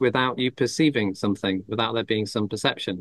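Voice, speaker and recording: This man talks at a fairly quick pace with an English accent. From England. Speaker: Buddhist monk and teacher. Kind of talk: Q&A after a Dhamma talk. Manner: halting, many fillers and restarts.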